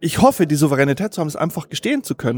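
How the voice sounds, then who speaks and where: The recording is very clean, with a silent background and a dry, close sound with no echo. A man speaks at a fairly high pitch. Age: 40s. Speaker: journalist and author. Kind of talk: interview. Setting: restaurant.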